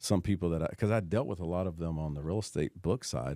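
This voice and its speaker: Against a silent background on a very clean recording, a man with a dark, mellow tone speaks at a very fast pace. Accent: Tennessee. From US South, Knoxville, Tennessee. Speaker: real estate professional, former college football player. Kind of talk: casual chat.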